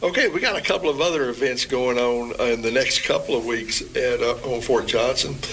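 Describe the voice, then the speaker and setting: Over noticeable background noise, a man talks at a fairly quick pace with very even loudness and hardly any pauses. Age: 70s. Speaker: military public affairs spokesman. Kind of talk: radio interview.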